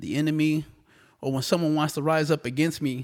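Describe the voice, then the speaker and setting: In a very clean recording with a silent background, a man with an ordinary speaking voice talks at a fairly quick pace and a fairly high pitch. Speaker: podcast co-host. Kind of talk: casual religious discussion.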